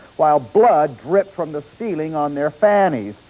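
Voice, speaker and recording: At a moderate pace, a man with a fairly high pitch talks over noticeable background noise. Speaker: newspaper film critic and TV show co-host. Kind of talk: TV movie review, opinionated critic commentary.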